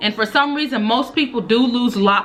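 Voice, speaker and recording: Music plays in the background as a woman speaks at a fairly high pitch and a moderate pace. Her tone is animated, with very wide pitch swings. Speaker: beauty and hair vlogger. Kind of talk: casual advice vlog.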